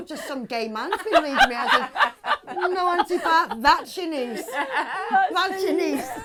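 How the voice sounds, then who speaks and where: A woman speaks with an extremely high pitch and very wide pitch swings. Noticeable background noise sits behind her. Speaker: voice actor. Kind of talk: casual chat.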